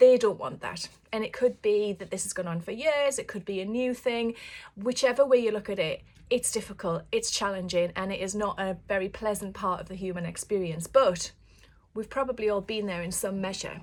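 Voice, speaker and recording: A woman with a northeast English accent at a fairly quick pace, ordinary pitch variation, and big swings in loudness. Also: medium pitch for a woman. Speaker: author. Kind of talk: casual chat to camera. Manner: halting.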